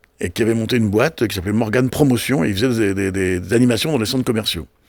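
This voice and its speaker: Ordinary pitch variation in a fairly low-pitched male voice. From Brittany, France. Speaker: television and festival producer. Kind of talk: casual interview. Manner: fast; halting, many repetitions.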